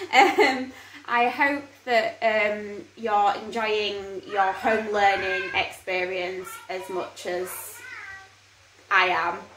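A woman speaks at a very slow pace in a room with audible echo and light background noise. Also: ordinary pitch variation. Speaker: parent educator vlogger. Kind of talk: casual vlog chat. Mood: relaxed, upbeat. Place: home room. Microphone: phone near.

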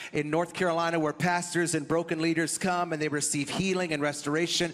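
Over music in the background, a man talks at a very fast pace in a high pitch. His delivery is monotone and flat, with very even loudness. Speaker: guest. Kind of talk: speaker introduction to congregation. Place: stage. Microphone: handheld.

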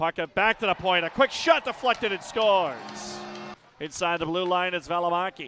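A high-voiced man in an energetic tone with ordinary pitch variation, dry with no echo, music in the background. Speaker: hockey play-by-play announcer. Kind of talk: live play-by-play commentary over game action, spliced into highlight reel. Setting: arena broadcast of a game in Stockton. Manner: rapid-fire, clipped calls that climb in excitement on goals; energetic, urgent delivery. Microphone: headset.

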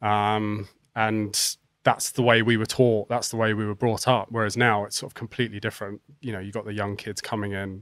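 With an English accent, a man talks at a fairly quick pace in a fairly low pitch and monotone, flat intonation, recorded with a dry sound with no echo against a quiet background. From England. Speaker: professional cricketer. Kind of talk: casual chat. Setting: studio. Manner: halting. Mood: relaxed storytelling. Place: studio. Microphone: studio mic.

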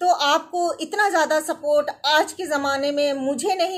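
At a moderate pace, a woman speaks in a high voice with ordinary pitch variation.

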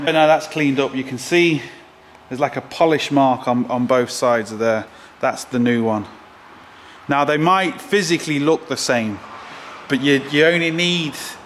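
Amid light background noise, a man speaks at a moderate pace with ordinary pitch variation and long, frequent pauses. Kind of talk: tutorial. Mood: relaxed, jokey. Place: garage.

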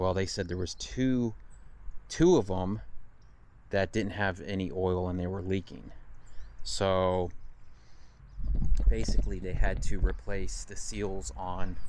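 Amid noticeable background noise, a man speaks slowly at a very deep, low pitch with ordinary pitch variation and long, frequent pauses, the sound dry with no echo. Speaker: truck driver vlogger. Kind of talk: casual vlog chat. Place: street. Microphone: phone near.

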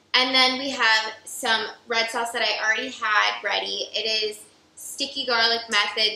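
In a room with audible echo, a woman speaks at a moderate pace with monotone, flat intonation. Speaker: cooking show co-host. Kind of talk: tutorial. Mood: playful competitive banter. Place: kitchen.

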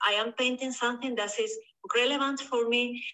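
A woman with a Spanish accent, at a moderate pace and with fairly even intonation. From southern Spain. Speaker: painter. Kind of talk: interview. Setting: video call. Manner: halting.

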